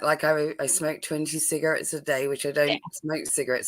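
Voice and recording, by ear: A woman speaks with a very deep, low pitch. Her voice is husky.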